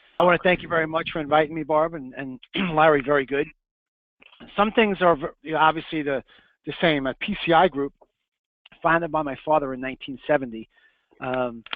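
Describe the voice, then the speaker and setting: A man with a New York accent talks at a fairly quick pace with long, frequent pauses, a fairly high pitch and ordinary pitch variation. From Long Island, New York. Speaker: print business owner. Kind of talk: webinar presentation. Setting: webinar.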